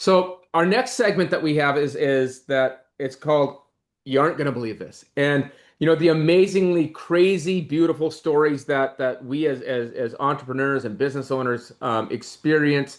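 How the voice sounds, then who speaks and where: Here is a man with a plain, everyday voice. He talks at a moderate pace with a fairly high pitch and ordinary pitch variation. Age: 40s. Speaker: podcast host. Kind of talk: casual chat.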